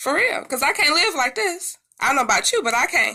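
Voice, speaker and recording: Using very wide pitch swings, a woman sounds animated, her tone bright and sharp. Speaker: music commentator YouTuber. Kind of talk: casual commentary.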